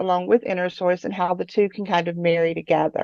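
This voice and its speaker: With an American accent, a woman is heard in a dry, close sound with no echo against a quiet background. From West Virginia. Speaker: tech company open source program staff. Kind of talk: conference talk.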